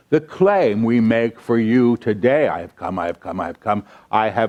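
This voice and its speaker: A man's normal speaking voice at medium pitch, with lively intonation at a moderate pace, against a quiet background. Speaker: spiritual channel. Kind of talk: channeled spiritual lecture.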